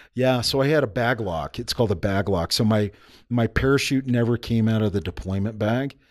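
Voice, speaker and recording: A man speaks at a fairly quick pace in an American accent. The background is quiet. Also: ordinary pitch variation. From United States. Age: 40s. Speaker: army special forces veteran and entrepreneur. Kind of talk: casual interview. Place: studio. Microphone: studio mic.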